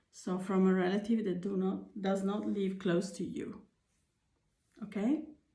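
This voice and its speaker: Audible room echo surrounds this woman's voice. Her pitch is medium, with ordinary pitch variation. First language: not English. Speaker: tarot reader. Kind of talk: tarot reading. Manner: halting, with fillers.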